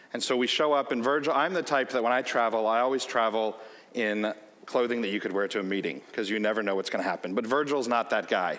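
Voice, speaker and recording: A man in a Chicago accent talks very fast at a medium pitch. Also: ordinary pitch variation. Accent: American, Chicago. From US Midwest, Chicago. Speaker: company executive. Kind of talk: keynote speech with anecdotes. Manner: animated storytelling.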